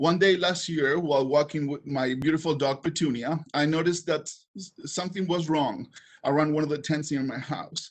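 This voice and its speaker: A man with a strong non-native accent, fairly quick pace and ordinary pitch variation. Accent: heavy foreign. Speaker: council vacancy applicant. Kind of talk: public speech. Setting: online public meeting. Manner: halting.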